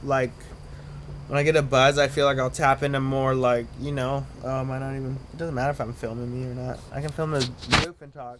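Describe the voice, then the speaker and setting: A man mumbles at a fairly quick pace in a monotone, flat intonation. His pitch is medium, with noticeable background noise behind him. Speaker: vlogger. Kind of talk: casual monologue to camera. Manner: mumbling.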